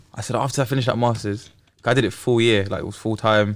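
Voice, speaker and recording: Delivered at a very fast pace with a London accent, the speech keeps fairly even intonation. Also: man. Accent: London English (Multicultural London). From South East London. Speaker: podcast guest, teacher. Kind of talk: casual chat. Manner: casual, hesitant with fillers.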